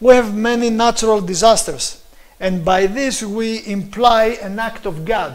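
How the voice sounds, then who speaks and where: In a room with audible echo, a man with a Greek accent talks with ordinary pitch variation. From Greece. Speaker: preacher. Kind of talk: sermon. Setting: live stream.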